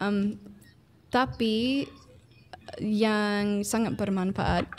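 A woman speaks very slowly at a medium pitch, with fairly even intonation and an English accent. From United States. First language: English (speaking Indonesian). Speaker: ethnomusicology researcher. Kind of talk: interview. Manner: hesitant.

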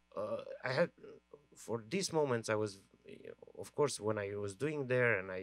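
A man's voice, with ordinary pitch variation, comes across in a dry sound with no echo. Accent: Romanian. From Romania. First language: Romanian. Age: 40s. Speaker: film director; guest. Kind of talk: Q&A discussion. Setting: stage with audience. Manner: halting. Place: stage. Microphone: handheld.

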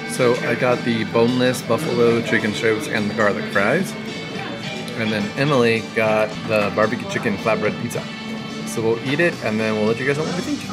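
A man's fairly quick speech over clear background music. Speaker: food vlogger. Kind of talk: casual vlog chat. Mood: mildly disappointed. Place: bar. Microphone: phone near.

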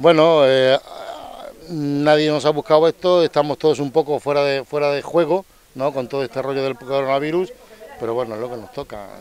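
A man with a normal speaking voice talks at a fairly quick pace, his fairly high pitch held to a fairly even intonation, in a dry sound with no echo. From Melilla, North Africa (Spain); Spain. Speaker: resident; interviewee. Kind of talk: interview; interview answer. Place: street. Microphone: handheld.

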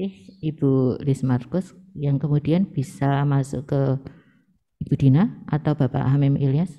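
A woman with a very deep, low pitch, ordinary pitch variation, and a fairly slow pace, over a quiet background. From Indonesia. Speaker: seminar moderator. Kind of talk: moderating. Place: meeting room. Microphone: podium.

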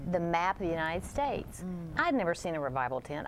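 A woman with an American accent speaks at a fairly quick pace in a fairly low pitch. She has a plain, everyday voice. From Texas. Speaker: TV network executive. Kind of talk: religious TV interview.

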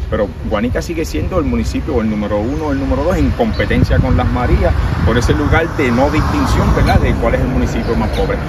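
A man talks at a fairly quick pace over loud background noise. The sound itself is dry, with no echo. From Puerto Rico, Guánica area. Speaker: political candidate. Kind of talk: interview. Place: street. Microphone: handheld.

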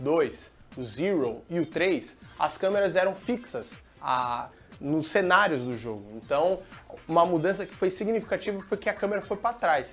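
A high-pitched man speaks at a moderate pace with very wide pitch swings. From Brazil. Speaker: TV presenter. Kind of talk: casual talk to camera. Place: studio. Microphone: lapel.

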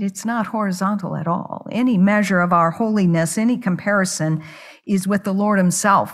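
Against a quiet background, a woman talks at a moderate pace in a somewhat breathy voice with ordinary pitch variation. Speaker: preacher. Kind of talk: sermon. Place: church. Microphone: podium.

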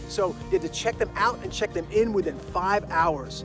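A man speaks at a moderate pace with ordinary pitch variation. The sound is dry with no echo, with clear music in the background. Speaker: screenwriting coach. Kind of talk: casual promotional story. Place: open country. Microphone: phone near.

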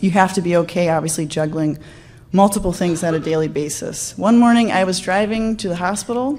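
A woman speaks with an American accent at a fairly quick pace. Her pitch is fairly low, with ordinary variation. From US Midwest. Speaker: anesthesiologist and researcher. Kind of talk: conference talk. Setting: stage with audience. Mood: light, humorous, personal. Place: hall.

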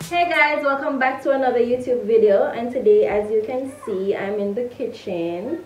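A woman at a moderate pace, with crowd noise in the background and audible room echo. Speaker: home baking vlogger. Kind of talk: casual vlog chat. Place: kitchen. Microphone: camera far.

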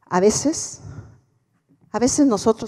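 Over a quiet background, a woman with a dark, mellow tone speaks at a fairly slow pace with lively intonation. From Mexico. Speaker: motivational speaker, former politician; keynote speaker. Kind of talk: keynote speech. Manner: animated. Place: stage. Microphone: handheld.

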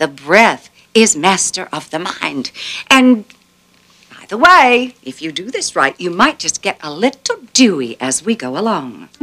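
A woman at medium pitch speaks fairly slowly with vocal fry and a bright, sharp tone, her pitch swinging very widely and her loudness rising and falling sharply. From Southern United States. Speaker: yoga instructor. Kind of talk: guided yoga instruction. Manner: calm, relaxing. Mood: calm, warm, encouraging.

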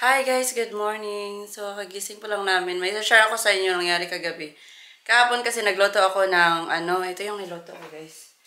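A woman's bright, sharp tone at a fairly quick pace with fairly even intonation. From Philippines, Cebu; Philippines. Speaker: family vlogger. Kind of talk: vlog talk to camera. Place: kitchen. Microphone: phone near.

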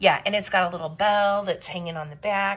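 A woman speaks with a bright, sharp tone. Her intonation is monotone and flat. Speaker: vintage reseller. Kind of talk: casual haul vlog chat. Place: home room. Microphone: phone near.

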